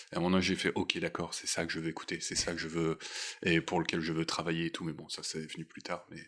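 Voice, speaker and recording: The speech rushes along at a very fast pace in a monotone, flat intonation. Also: man, very deep, low pitch for a man. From northern France, Boulogne-sur-Mer. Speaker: concert programmer. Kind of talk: casual interview. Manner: hesitant, repeats words.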